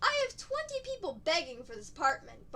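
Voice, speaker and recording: In a put-on, squeaky character voice pitched extremely high, a woman talks at a fairly quick clip with very wide pitch swings over clear background noise. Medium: read story. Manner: salesy, pushy.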